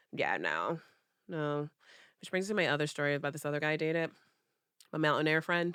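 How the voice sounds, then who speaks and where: A woman talks loudly and very fast in a very deep, low voice with a bright, sharp tone and flat, monotone intonation. She pauses long and often, and the recording is very clean with a silent background. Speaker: podcast co-host. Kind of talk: casual chat.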